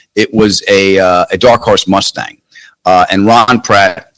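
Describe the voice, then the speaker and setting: A man's fairly low voice, dry and close with no echo. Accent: New York. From Queens, New York. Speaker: comedian and actor. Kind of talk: interview answer.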